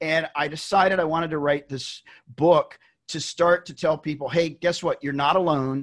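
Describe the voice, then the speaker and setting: The man's pitch is fairly high and his intonation monotone and flat. His loudness swings a lot. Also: moderate pace. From Tennessee. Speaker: accountant and author. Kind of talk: interview.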